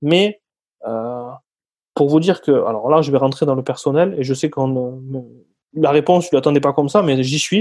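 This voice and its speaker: A man speaks at a moderate pace with a fairly high pitch. His pitch varies in an ordinary way, and he takes long, frequent pauses. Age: 30s. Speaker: sales closer. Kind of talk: interview.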